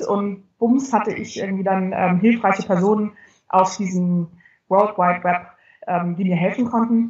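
Somewhat breathy, a woman speaks at a moderate pace and medium pitch with fairly even intonation. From northern Germany. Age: 40s. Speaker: communications expert and genealogy blogger. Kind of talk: interview, casual chat.

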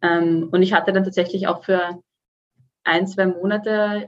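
With a plain, everyday voice, a woman holds a medium pitch and fairly even intonation. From Austria, Vienna. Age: 20s. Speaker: student and fitness client. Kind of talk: podcast interview.

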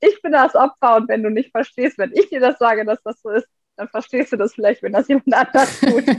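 High-pitched woman's voice with ordinary pitch variation, dry and close with no echo. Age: 30s. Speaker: physiotherapist and former course participant. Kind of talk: casual interview. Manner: hesitant, many fillers.

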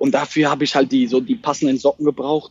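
Noticeable background noise sits behind this speaker. He is a man talking at a very fast pace. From Germany, Mannheim/Heidelberg area. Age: 20s. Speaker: startup founder. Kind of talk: casual interview.

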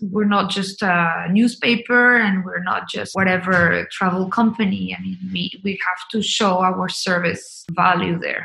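With a Spanish accent, a woman at a medium pitch speaks at a fairly slow pace with fairly even intonation and hardly any pauses while music plays in the background. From Colombia. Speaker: travel company marketing and sales executive. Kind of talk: podcast interview. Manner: hesitant, many fillers and repeated words.

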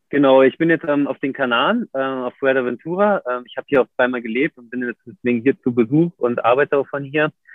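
A man's medium-pitched voice with ordinary pitch variation, hardly any pauses, and big swings in loudness. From Germany, Berlin. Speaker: professional big wave surfer. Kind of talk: casual interview. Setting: video livestream. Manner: hesitant, many fillers.

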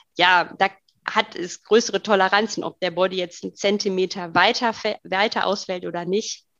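The delivery moves at a moderate pace in a monotone, flat intonation. The sound is dry and close, with no echo. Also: woman, medium pitch for a woman. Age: 30s. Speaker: co-founder of a sustainable online shop. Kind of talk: interview.

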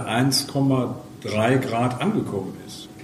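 Amid noticeable background noise and audible room echo, a man speaks at a medium pitch with fairly even intonation. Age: 60s. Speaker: climate activist volunteer. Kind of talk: interview.

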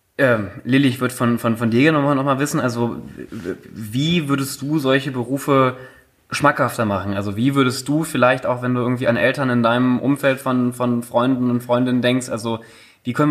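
A plain, everyday voice at a moderate pace with fairly even intonation, recorded very cleanly against a silent background. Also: man. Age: 20s. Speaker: podcast co-host. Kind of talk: casual chat.

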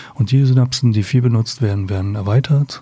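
Medium pitch from a man, an unremarkable speaking voice with ordinary pitch variation. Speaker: psychotherapist. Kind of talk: interview.

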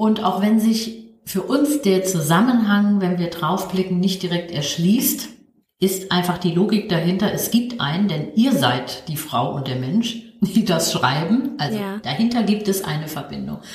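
A woman's medium-pitched voice at a fairly slow pace, lively in intonation, with audible room echo. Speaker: ethnologist and career counsellor, podcast co-host. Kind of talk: casual chat. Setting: video call.

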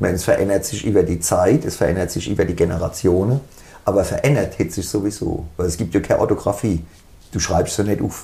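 A man with a fairly low, dark, mellow and somewhat breathy voice talks at a very fast pace with ordinary pitch variation. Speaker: band musician. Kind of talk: casual interview. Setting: band rehearsal room.

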